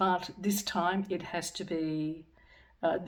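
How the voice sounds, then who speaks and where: A woman speaks at a very slow pace and medium pitch. Her intonation stays fairly even. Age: 60s. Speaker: English teacher and vlogger. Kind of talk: personal vlog monologue. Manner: hesitant, many fillers.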